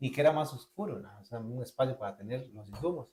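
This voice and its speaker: This man speaks with a Costa Rican accent, somewhat breathy. His pace is very fast and his intonation lively. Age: young. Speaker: graphic designer. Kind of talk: casual interview storytelling. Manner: animated.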